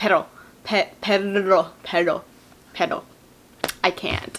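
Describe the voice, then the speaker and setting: A woman's medium-pitched voice, with ordinary pitch variation, moves at a fairly slow speed. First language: bilingual English and Japanese. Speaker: rhythmic gymnast and YouTuber. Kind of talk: casual Q&A vlog. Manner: animated.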